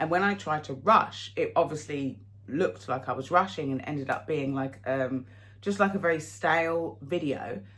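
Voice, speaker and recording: Lively intonation marks this moderately paced speech. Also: woman, very deep, low pitch for a woman. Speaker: fashion haul vlogger. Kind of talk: casual chat to camera. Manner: hesitant, with fillers.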